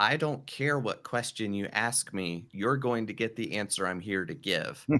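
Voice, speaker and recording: A man talks in a plain, everyday voice, fairly low in pitch and at a fairly slow pace, with ordinary pitch variation. The recording is very clean, with a silent background. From North Carolina mountains, US. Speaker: podcast coach and performer. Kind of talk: casual interview chat.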